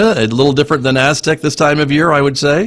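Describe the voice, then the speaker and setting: This is a plain, everyday voice. The speaker is a man. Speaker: radio station general manager, interviewer. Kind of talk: interview host. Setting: video call recording (Zoom).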